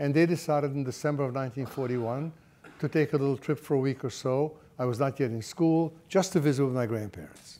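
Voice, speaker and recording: A man's fairly high-pitched voice with a dark, mellow tone. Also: ordinary pitch variation, fairly quick pace. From Germany. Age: 80s. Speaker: Holocaust survivor. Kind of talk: panel talk, personal recollection. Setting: stage with audience. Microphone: lapel.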